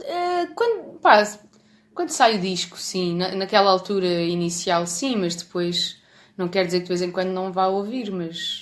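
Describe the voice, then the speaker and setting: A woman speaks with fairly even intonation, keeping a fairly slow pace. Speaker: bass player in a rock band. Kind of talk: casual chat.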